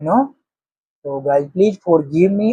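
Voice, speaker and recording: With an Indian accent, a man speaks in a dark, mellow tone that is somewhat breathy, with ordinary pitch variation and a dry, close sound with no echo. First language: Hindi. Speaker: English teaching vlogger. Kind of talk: motivational talk. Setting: at home, early morning with family sleeping.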